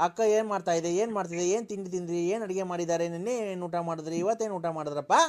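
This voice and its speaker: The man's pitch is high. His intonation stays fairly even. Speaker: prank caller. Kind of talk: prank phone call.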